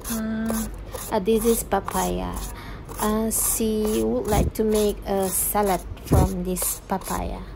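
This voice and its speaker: A woman at a very slow pace with an Indonesian accent, over noticeable background noise. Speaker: travel vlogger. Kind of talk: casual vlog narration. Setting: outdoors on trip. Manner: halting.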